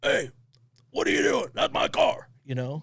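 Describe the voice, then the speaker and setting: A man puts on a raspy character voice at an extremely high pitch, moving at a moderate pace. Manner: confronting, suspicious.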